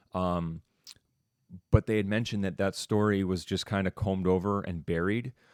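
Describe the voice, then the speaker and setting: A man talks at a moderate pace in a fairly low voice with fairly even intonation. It is an ordinary speaking voice. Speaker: teacher. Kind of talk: online class discussion. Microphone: studio mic with sound board.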